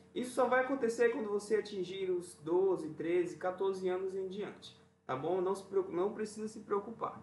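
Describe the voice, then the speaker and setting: Speaking high for a man, he keeps a moderate pace and his pitch varies in an ordinary way. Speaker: music teacher. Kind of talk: lesson for children. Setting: video recording.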